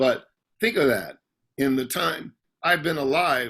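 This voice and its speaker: Speaking at a very slow pace, a man uses a bright, sharp tone at a fairly high pitch. His pitch swings very widely, and vocal fry runs through his voice. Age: 60s. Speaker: session guitarist. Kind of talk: interview. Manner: halting.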